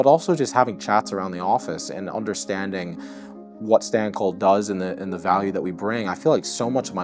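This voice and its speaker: A man's very deep, low voice at a fairly quick pace, with music in the background. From New Jersey, United States. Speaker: assistant marketing manager. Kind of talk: corporate interview answer.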